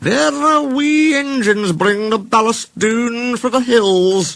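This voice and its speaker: In a put-on character voice, a man speaks at a fairly slow pace and an extremely high pitch, in a Scottish accent. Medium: read story.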